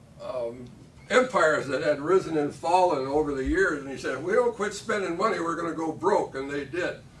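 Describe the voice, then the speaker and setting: A high-pitched man's voice with lively intonation, fairly quick, amid noticeable background noise. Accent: American. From Michigan, US Midwest. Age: 70s. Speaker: political candidate. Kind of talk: candidate forum speech. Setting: candidate forum with audience.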